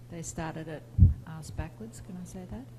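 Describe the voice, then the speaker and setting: A woman speaks with music in the background. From Australia. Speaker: university teacher. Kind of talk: panel discussion.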